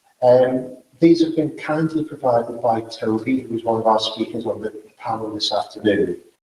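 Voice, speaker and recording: Speaking at a moderate pace with a medium pitch and ordinary pitch variation, a man with a Liverpool accent has a somewhat breathy voice and a dark, mellow tone. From northern England, Liverpool. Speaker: event organizer and speaker. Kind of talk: closing remarks at a conference.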